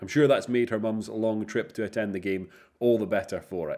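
Over a very clean recording with a silent background, a plain, everyday voice moves at a fairly quick pace with ordinary pitch variation. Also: man. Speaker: football podcast host. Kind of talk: live match commentary and discussion. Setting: stadium press box.

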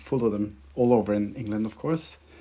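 A man's dark, mellow voice with a Norwegian accent, medium in pitch, at a fairly quick pace with ordinary pitch variation. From Norway. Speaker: violinist. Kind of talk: interview.

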